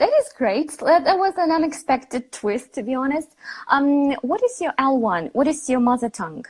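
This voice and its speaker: A woman talks at a moderate pace with a high pitch and lively intonation. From Ukraine. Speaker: English teacher, interviewer. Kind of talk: interview. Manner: halting.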